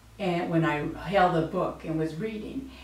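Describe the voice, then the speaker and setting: A woman with a fairly low pitch and fairly even intonation at a fairly slow pace, with audible room echo and noticeable background noise. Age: 60s. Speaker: patient giving testimonial. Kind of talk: testimonial interview. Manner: hesitant, with frequent fillers.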